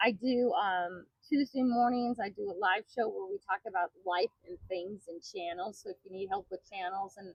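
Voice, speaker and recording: With an American accent and a plain, everyday voice, a woman of medium pitch speaks at a moderate pace with hardly any pauses and big swings in loudness. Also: ordinary pitch variation. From Washington State, US Pacific Northwest. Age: 60s. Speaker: YouTube creator, environmental cleanup. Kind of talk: podcast interview.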